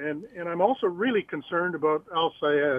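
A man with an American accent talks at a fairly slow pace in a fairly high voice. He has a plain, everyday voice. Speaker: caller. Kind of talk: call-in opinion. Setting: phone call.

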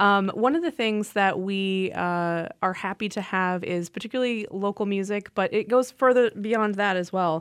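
A normal speaking voice moves at a moderate pace with ordinary pitch variation and hardly any pauses. The recording is very clean, the background silent. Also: woman, medium pitch for a woman. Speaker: archivist. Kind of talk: radio interview. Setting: studio.

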